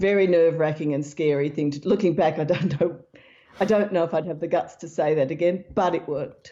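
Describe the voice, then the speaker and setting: A woman with an Australian accent and a fairly low pitch talks at a fairly quick pace with fairly even intonation. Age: old. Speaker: researcher and author. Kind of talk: interview.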